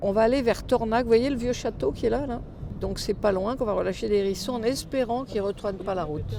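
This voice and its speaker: The speech goes at a very fast pace with ordinary pitch variation. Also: woman, fairly high pitch for a woman. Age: 70s. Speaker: retired veterinarian, wildlife hospital founder. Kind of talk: documentary interview and casual talk while working.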